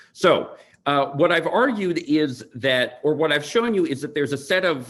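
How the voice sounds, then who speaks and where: A man with an American accent and a fairly high pitch, on a very clean recording with a silent background. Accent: American accent when speaking Tupari. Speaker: linguist presenting research. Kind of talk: academic conference talk.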